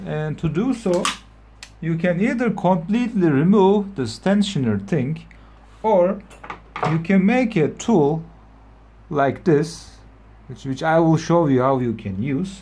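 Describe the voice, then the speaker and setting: With a non-native accent, the speaker goes at a fairly slow pace, taking long, frequent pauses. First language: not English. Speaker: motorcycle repair tutorial maker. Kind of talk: tutorial. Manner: halting.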